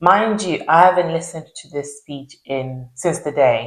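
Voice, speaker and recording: This woman has a Zimbabwean accent and a very deep, low pitch. She talks at a fairly slow pace with ordinary pitch variation. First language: Shona. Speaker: YouTuber. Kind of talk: casual chat.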